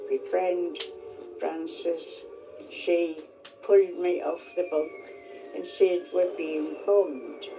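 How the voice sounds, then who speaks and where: Music plays behind a woman's voice. She speaks very slowly, with long, frequent pauses. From North Shields, North East England. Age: 80s+. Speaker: war survivor. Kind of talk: testimony.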